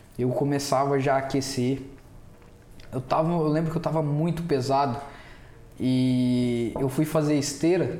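Against noticeable background noise, a man talks at a fairly high pitch and fairly slow pace, keeping his loudness very even and leaving long, frequent pauses. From Brazil, Mogi Guaçu (São Paulo interior). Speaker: podcast guest, print shop owner. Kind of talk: casual chat. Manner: animated.

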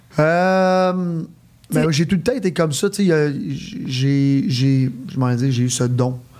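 A man with a fairly high pitch for a man speaks at a very slow pace. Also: lively intonation. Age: 30s. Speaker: entrepreneur. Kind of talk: casual interview.

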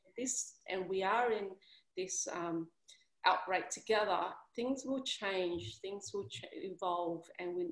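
The woman talks at a fairly slow pace. She has an Australian accent. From Sydney, Australia (Vietnamese family). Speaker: career coach. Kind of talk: casual interview. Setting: video call.

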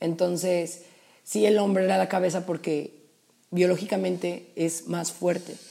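Here is a woman with an unremarkable speaking voice. Her pitch is fairly low, her intonation fairly even, and her pace fairly slow. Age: 20s. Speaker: podcast co-host, university student. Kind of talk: casual chat.

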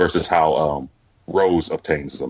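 There is ordinary pitch variation in a man's voice, recorded very cleanly with a silent background. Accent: American. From United States. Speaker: office worker. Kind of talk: casual chat. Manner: halting.

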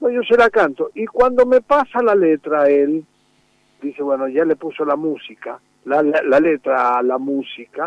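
Recorded with a dry, close sound and no echo, a man speaks fairly slowly at a fairly high pitch with very wide pitch swings. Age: 70s. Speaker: folk singer-songwriter. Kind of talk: interview. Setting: phone call. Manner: halting.

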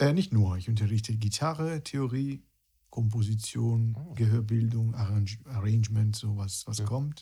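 A man with an Italian accent, medium in pitch, somewhat breathy, dark and mellow in tone, with ordinary pitch variation at a moderate pace, on a very clean recording with a silent background. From Italy, near Rome. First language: Italian (speaking German). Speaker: guitarist and music teacher. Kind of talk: casual interview chat.

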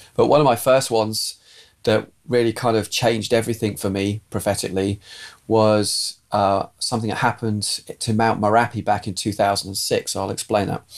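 At medium pitch and a moderate pace, a man speaks with monotone, flat intonation on a very clean recording with a silent background. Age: 50s. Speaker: pastor. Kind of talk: testimony.

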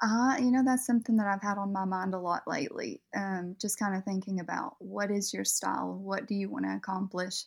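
A woman speaks at a fairly quick pace with ordinary pitch variation and a somewhat breathy voice. The recording is very clean, with a silent background. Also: medium pitch for a woman. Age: 20s. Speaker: makeup artist. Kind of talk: casual interview. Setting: voice call.

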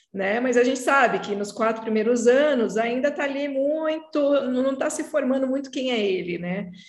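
A high-pitched woman's voice at a moderate pace with hardly any pauses, audible room echo and noticeable background noise. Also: ordinary pitch variation. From Brazil. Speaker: podcast host, psychoanalyst. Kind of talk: casual interview chat.

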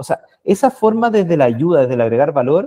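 A man with a plain, everyday voice keeps his intonation lively while speaking at a moderate pace. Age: 30s. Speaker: sales manager. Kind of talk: casual interview.

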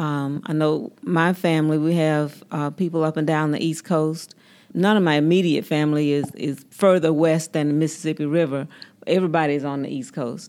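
With a Southern US accent, a woman speaks at a very deep, low pitch and a moderate pace. Her intonation is fairly even, and the recording is very clean with a silent background. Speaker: podcast host. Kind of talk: group interview.

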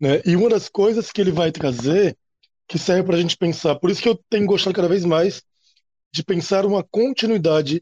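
Recorded dry and close with no echo, a man speaks at a moderate pace in a high pitch, with ordinary pitch variation. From Natal, Rio Grande do Norte, Brazil. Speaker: university lecturer, history. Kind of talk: panel discussion. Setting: recorded at night, table podcast.

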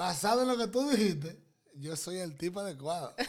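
Lively intonation and an animated tone mark this man's speech. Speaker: podcast host. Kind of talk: casual banter interview. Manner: animated, joking.

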